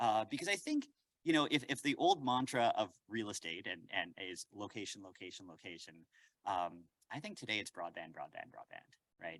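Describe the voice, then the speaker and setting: With a Canadian accent, a man speaks in big swings of loudness. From Canada, Winnipeg. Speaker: professor. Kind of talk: lecture. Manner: fast; animated.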